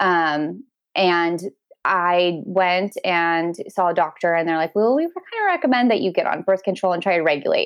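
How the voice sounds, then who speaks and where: A woman's American accent at a fairly low pitch, with ordinary pitch variation and a moderate pace. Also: very even loudness. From Washington State, US Pacific Northwest. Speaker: podcast guest sharing embryo adoption story. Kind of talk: casual interview chat.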